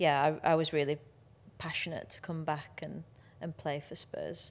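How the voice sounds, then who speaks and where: This woman's pitch sits very deep and low, her intonation monotone and flat, on a very clean recording with a silent background. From Yorkshire, Sheffield. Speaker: professional footballer. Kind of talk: casual chat.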